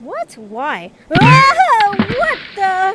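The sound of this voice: A woman's put-on character voice at extremely high pitch, very slow pace, very wide pitch swings and a fairly bright tone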